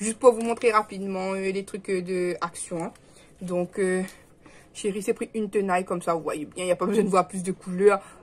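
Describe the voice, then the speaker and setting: A woman's medium-pitched voice, flat and monotone, at a moderate pace. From Réunion. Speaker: vlogger. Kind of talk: casual vlog chat. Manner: hesitant, many fillers; speaking softly.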